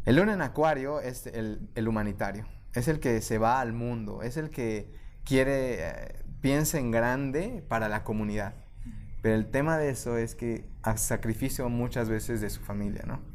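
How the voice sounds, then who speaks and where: Amid audible room echo, a man at a medium pitch talks at a fairly slow pace with ordinary pitch variation. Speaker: life coach and podcaster. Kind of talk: interview conversation. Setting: studio.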